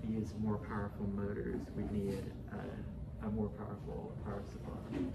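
Loud background noise sits behind a man's voice. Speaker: presenter. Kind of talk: project presentation. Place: meeting room.

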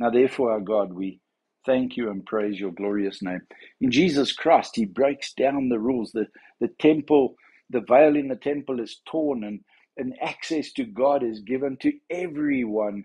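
A man speaks in a dark, mellow tone at a moderate pace. His pitch varies in an ordinary way over a quiet background. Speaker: church minister. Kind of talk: devotional talk. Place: home room. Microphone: phone near.

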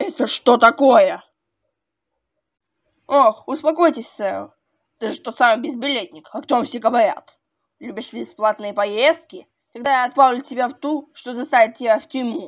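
A woman uses a put-on character voice at a high pitch. She goes at a moderate pace with long, frequent pauses. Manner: indignant, shouting.

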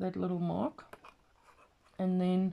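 A dark, mellow tone colors the woman's voice. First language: not English. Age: 40s. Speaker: craft vlogger. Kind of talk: casual craft tutorial video. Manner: halting, with fillers. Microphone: phone near.

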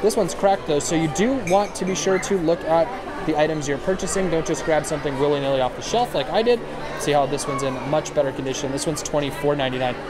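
The speaker talks at a very fast pace over crowd noise in the background. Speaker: shopping vlogger. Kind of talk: casual vlog chat. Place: shop. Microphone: phone near.

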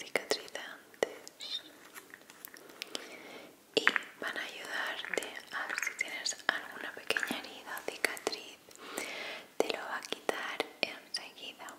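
A soft-spoken voice is whispering in a gentle tone at a very slow pace, with long, frequent pauses. Loud background noise fills the recording. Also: woman. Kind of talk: soft role-play talk to viewer. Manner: soft ASMR whisper, gentle and caring. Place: home room. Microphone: studio mic.

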